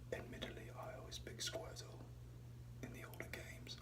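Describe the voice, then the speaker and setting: A soft-spoken man talks at a moderate pace with a very deep, low pitch. Noticeable background noise runs under the recording. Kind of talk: ASMR reading.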